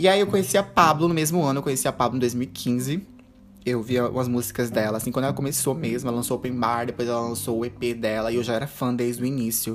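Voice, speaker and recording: A man at medium pitch, animated, with ordinary pitch variation and a very fast pace. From Brazil, interior of Rondônia (Ariquemes). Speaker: podcast host and drag queen. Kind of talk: casual solo monologue. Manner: animated, frequent laughter.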